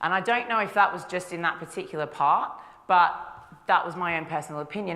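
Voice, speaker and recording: Audible room echo surrounds a woman with an Australian accent and fairly low pitch. She goes at a fairly quick pace with ordinary pitch variation. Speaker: nutritionist. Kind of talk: conference talk. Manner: casual, with frequent fillers.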